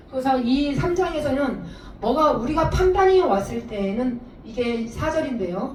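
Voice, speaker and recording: Lively in intonation, a woman with a high voice speaks at a fairly slow pace. Audible room echo and noticeable background noise surround her. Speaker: preacher. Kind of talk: sermon.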